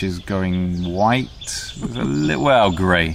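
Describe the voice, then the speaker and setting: Background noise is noticeable behind a man's voice. He talks very slowly, with ordinary pitch variation. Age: 40s. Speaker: speaker describing himself for a listening exercise. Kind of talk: casual self-description. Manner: hesitant, many fillers.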